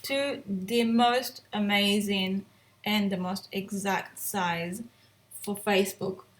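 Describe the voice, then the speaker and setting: Medium pitch, ordinary pitch variation and a somewhat breathy quality in a woman's voice. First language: not English. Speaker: photographer and editing tutor. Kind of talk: tutorial. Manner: casual, hesitant with fillers.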